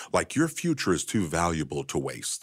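A man speaks with a very deep, low pitch and vocal fry, his pitch swinging very widely. The recording is very clean, with a silent background. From Kentucky. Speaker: financial expert and author. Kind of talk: interview.

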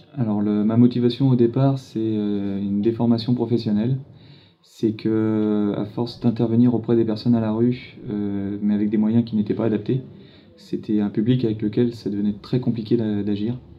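Here a man talks at a moderate pace in a medium pitch with a monotone, flat intonation. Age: 40s. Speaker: firefighter and first-aid trainer. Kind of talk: interview. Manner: halting.

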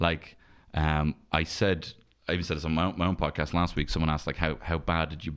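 In a Dublin accent, a man with a very deep, low pitch speaks fairly quickly in a monotone, flat way on a very clean recording with a silent background. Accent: Dublin Irish. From Dublin, Ireland (north side). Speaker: stand-up comedian. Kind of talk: casual chat.

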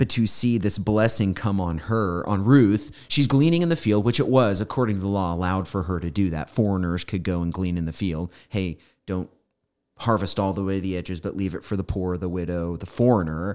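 A man with an American accent speaks at a fairly quick pace, his pitch very deep and low with ordinary variation. The recording is very clean, with a silent background. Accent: slight Southern, stronger when tired. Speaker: pastor. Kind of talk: casual Bible study chat.

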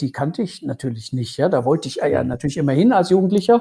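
Somewhat breathy male speech, dark and mellow in tone. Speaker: lawyer and former rock guitarist. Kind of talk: interview. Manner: hesitant with many fillers.

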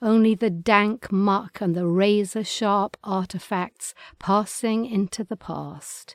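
A woman with an English accent, medium pitch, fairly even intonation and a very slow pace, in a very clean recording with a silent background and a dry, close sound with no echo. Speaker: podcast host reading poetry. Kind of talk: reading aloud.

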